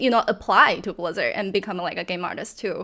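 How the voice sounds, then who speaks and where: This woman speaks with a Chinese accent. Her pitch sits fairly high. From China. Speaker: video game environment artist. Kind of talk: interview.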